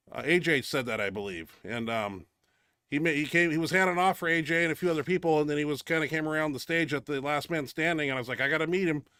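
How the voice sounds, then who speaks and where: The voice is loud and animated, with a bright, sharp tone. It moves at a very fast pace on a very clean recording with a silent background. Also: man, fairly high pitch for a man, ordinary pitch variation. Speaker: powerlifter and show host. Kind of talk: casual chat.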